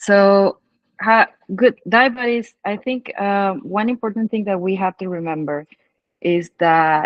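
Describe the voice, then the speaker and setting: A woman at a very slow pace, medium in pitch, with a Spanish accent. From Mexico. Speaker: dive instructor and trip founder. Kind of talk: casual chat. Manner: halting.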